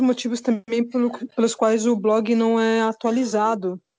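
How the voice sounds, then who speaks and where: Against a quiet background, a woman talks in a fairly high pitch with a dark, mellow tone. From São Paulo. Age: 40s. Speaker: podcast co-host. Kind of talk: casual chat.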